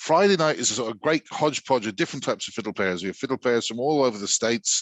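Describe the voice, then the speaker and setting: A man speaks at a very fast pace in a London accent. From London, England (Irish community). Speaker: university music lecturer and traditional musician. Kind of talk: interview. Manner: halting, many repetitions and fillers.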